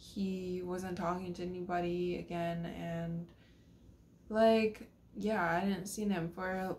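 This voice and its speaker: A woman speaks in a somewhat breathy voice with monotone, flat intonation. Light background noise can be heard. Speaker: vlogger telling a personal story. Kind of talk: casual vlog chat. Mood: somber, regretful. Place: home room. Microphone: phone near.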